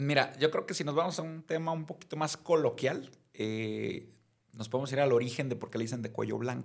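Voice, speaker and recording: A man talks at a fairly quick pace with a normal speaking voice. His pitch is fairly high, with ordinary pitch variation. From Mexico, Mazatlán (Sinaloa). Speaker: criminal defense lawyer. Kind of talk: casual chat.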